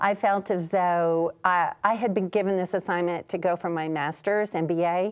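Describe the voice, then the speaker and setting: Using a normal speaking voice, a woman talks at a moderate pace with hardly any pauses, her fairly low pitch and fairly even intonation set against a quiet background. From US Midwest, Kansas City. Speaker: Bible scholar and ministry leader. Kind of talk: TV interview.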